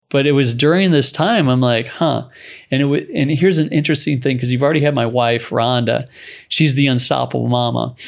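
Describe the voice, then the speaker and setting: A man uses a normal speaking voice at medium pitch, talking at a fairly quick pace with ordinary pitch variation. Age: 40s. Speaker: entrepreneur and surfer. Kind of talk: interview.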